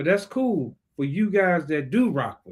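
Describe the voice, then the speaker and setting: A man speaks in a somewhat breathy voice at a moderate pace, his pitch swinging very widely. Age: 60s. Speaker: financial coach and livestream host. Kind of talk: impromptu solo livestream talk. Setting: live stream. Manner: casual, conversational.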